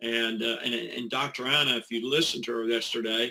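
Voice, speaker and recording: Medium in pitch, a man speaks at a moderate pace. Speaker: network marketing promoter. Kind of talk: recorded webinar talk. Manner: animated.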